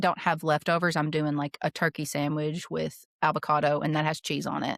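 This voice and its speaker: Someone with a Southern US accent is heard in a dry, close sound with no echo. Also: woman, very clean recording, silent background. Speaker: coaching client. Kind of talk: coaching session.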